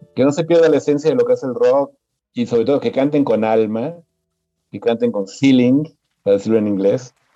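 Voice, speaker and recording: Background music accompanies the recording. The male speaker's voice sits at a medium pitch. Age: 60s. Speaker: music journalist and songwriter. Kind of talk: casual interview. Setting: podcast recording.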